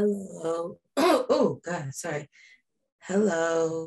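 A woman uses a strained, put-on character voice at fairly low pitch and a very slow pace. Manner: struggling, strained.

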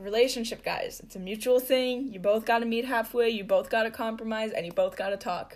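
A woman's fairly high voice at a fairly quick pace, big swings in loudness and hardly any pauses. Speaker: podcaster. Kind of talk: casual solo podcast monologue. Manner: excitable, filler-heavy.

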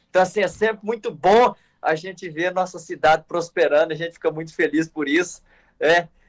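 A man talks at a fairly quick pace. His pitch is high and his intonation fairly even. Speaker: youth organization national leader. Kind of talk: casual chat.

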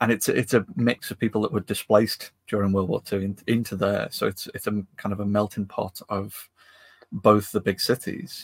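In a Lancashire accent, a man speaks at a fairly low pitch with fairly even intonation, the sound dry and close with no echo. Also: moderate pace. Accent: northern English (Lancashire area). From northwest England. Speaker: podcast co-host, maker. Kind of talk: casual chat.

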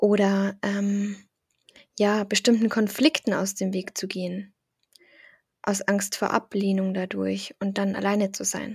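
Over a very clean recording with a silent background, a woman speaks at a very slow pace with long, frequent pauses. Her somewhat breathy voice has a calm, soothing tone and monotone, flat intonation. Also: medium pitch for a woman, dry, close sound with no echo. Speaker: meditation guide. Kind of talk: guided meditation. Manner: calm, slow, soothing; gentle, encouraging.

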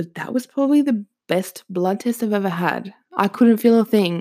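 A woman with an Australian accent talks at a moderate pace. The recording is very clean, with a silent background. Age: 20s. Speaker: podcast host. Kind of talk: casual monologue. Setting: home recording with microphone.

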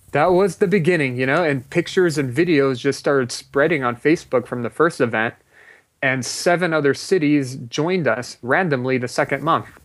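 With an American accent and a normal speaking voice, the speaker talks at a fairly quick pace with ordinary pitch variation. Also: man, fairly high pitch for a man. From US West Coast, Los Angeles. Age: 30s. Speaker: meditation movement founder. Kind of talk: interview.

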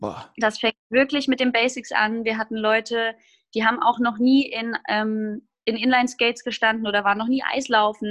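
A woman's normal speaking voice, fairly high-pitched, at a moderate pace with fairly even intonation. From Hesse, Germany (Groß-Gerau). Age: 20s. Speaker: musical theatre performer. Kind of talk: casual interview chat.

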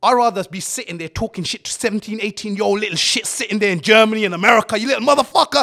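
A man talks at a very fast pace in a raised, projected voice, his tone animated, bright and sharp. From England, Luton. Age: 30s. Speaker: entrepreneur. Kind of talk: casual interview.

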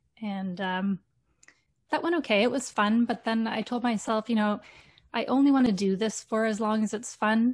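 With a Canadian accent, a woman speaks at a moderate pace in a fairly high, somewhat breathy voice with ordinary pitch variation against a quiet background. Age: 40s. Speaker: teacher and fitness content creator. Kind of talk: casual interview.

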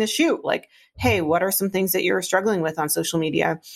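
In a very clean recording with a silent background, a woman talks at a fairly quick pace. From Northern Minnesota, Iron Range. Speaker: startup CEO. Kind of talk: interview conversation.

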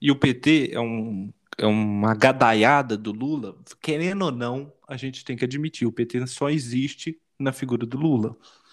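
A man speaks fairly slowly at a medium pitch, with ordinary pitch variation. The recording is very clean, with a silent background. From Brazil. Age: 20s. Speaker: podcast co-host. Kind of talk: casual political discussion. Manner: halting.

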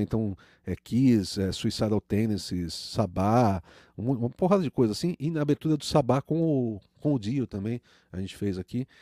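Recorded very cleanly against a silent background, a man's dark, mellow voice sounds dry and close with no echo, moving at a moderate pace with ordinary pitch variation. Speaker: music producer and audio engineer. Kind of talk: casual chat. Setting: live stream.

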